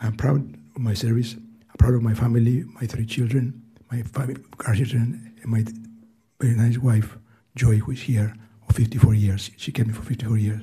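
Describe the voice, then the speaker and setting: A man speaks very fast with a Greek accent, at medium pitch in a dark, mellow, somewhat breathy tone. His intonation stays monotone and flat. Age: 80s+. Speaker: retiree testifying at a hearing. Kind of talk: testimony. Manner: halting.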